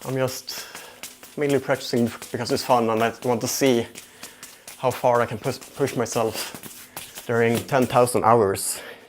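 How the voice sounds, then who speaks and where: Over noticeable background noise, a man talks at a fairly slow pace with medium pitch and monotone, flat intonation. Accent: Swedish. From Sweden. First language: Swedish. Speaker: juggling livestreamer. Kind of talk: casual livestream chat. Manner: halting, self-repeating.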